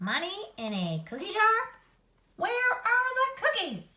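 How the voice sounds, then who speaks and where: A squeaky, put-on character voice at an extremely high pitch, fairly slow in pace. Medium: read story. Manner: fretful, exasperated.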